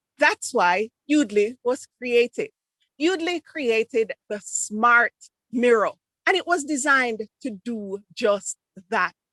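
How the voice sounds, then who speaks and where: A woman with a high pitch and lively intonation talks at a very slow pace, the sound dry and close with no echo. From Jamaica. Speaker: Toastmasters speaker on presentation tech. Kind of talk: club speech presentation.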